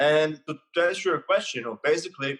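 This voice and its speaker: A man's voice, fairly high in pitch. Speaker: mindset coach. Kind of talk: casual podcast interview.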